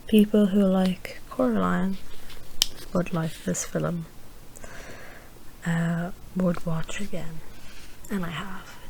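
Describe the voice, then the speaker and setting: The speaker whispers, soft-spoken and at a very slow pace, with long, frequent pauses. Noticeable background noise runs underneath. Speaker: ASMR creator. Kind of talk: ASMR rambling movie reviews. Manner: whispered, soft-spoken.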